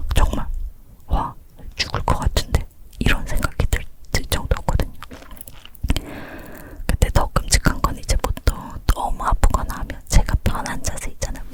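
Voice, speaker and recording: A woman whispers at a fairly slow pace, with long, frequent pauses. Noticeable background noise runs behind her. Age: 30s. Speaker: ASMR creator and mother. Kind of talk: whispered ASMR chat, telling a personal birth story. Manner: whispering, soft, talkative.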